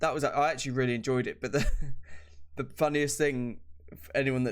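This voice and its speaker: This is a man speaking. He has a British accent. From Britain. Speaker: podcast co-host. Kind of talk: casual chat.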